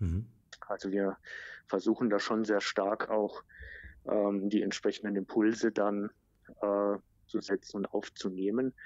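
Speaking at a fairly slow pace with long, frequent pauses, a man keeps a fairly low pitch and monotone, flat intonation. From Germany, outside Baden. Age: 40s. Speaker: digital marketing manager. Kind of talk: interview. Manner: frequent filler sounds.

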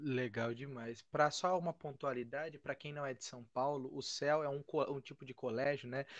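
A plain, everyday voice speaks at a moderate pace with fairly even intonation and big swings in loudness. The background is quiet. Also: man, fairly high pitch for a man. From Brazil. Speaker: podcast host. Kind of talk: casual interview. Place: home room. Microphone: studio mic.

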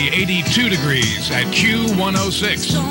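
A man speaks over loud background music. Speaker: radio DJ. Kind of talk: radio DJ aircheck. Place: studio. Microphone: studio mic.

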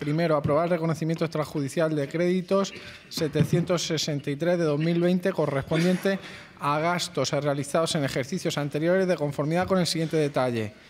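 A man at a moderate pace, with fairly even intonation, very even loudness and light background noise. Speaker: council secretary reading agenda item. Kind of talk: formal reading of a council resolution. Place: hall.

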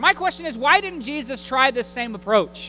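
Over music in the background, a man speaks in a raised, projected voice. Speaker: pulpit minister. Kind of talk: sermon. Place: church. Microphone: podium.

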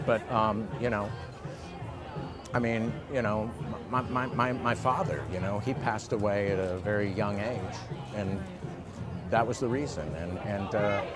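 At a fairly slow pace with long, frequent pauses, the voice shows ordinary pitch variation and a dry sound with no echo, while clear music plays in the background. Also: man. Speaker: interview guest. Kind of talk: interview answer. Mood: earnest, reflective. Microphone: lapel.

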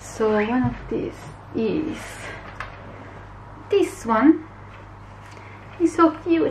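A woman's pitch varies in an ordinary way, with light background noise present. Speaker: illustrator vlogger. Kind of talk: casual vlog chat. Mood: pleased, upbeat. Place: home room. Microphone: phone near.

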